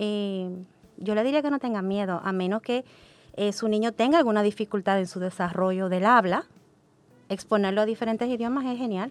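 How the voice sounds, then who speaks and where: At a moderate tempo and with a normal rise and fall in pitch, this is an ordinary speaking voice. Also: woman, medium pitch for a woman. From Dominican Republic. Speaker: English education coordinator. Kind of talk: podcast panel discussion.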